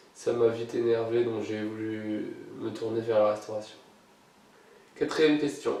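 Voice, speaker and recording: Audible room echo surrounds a man who speaks at a medium pitch and fairly slow pace, in a monotone, flat way with long, frequent pauses. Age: 20s. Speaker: YouTuber. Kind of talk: casual Q&A vlog. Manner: hesitant, many filler sounds.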